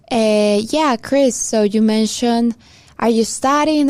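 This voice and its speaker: A woman speaks very slowly in a fairly high voice with ordinary pitch variation, recorded very cleanly against a silent background. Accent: Spanish. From Peru. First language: Spanish. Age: 20s. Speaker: podcast co-host. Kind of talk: casual chat.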